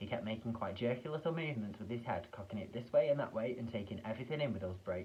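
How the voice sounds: Here the speaker reads in a natural reading voice.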